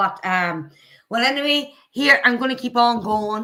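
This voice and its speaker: Her bright, sharp tone and lively intonation carry a woman's speech along at a moderate pace. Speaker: streamer commentating on videos. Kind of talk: casual live stream chat.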